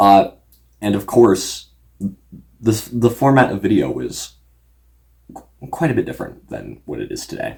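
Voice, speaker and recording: At a fairly slow pace, a man talks with long, frequent pauses and big swings in loudness. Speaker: YouTube content creator. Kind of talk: casual unscripted vlog talk. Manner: halting, many fillers.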